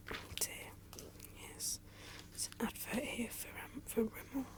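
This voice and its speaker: A woman whispers over noticeable background noise. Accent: British. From England. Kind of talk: ASMR magazine flip, casual chat. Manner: soft-spoken, whispery.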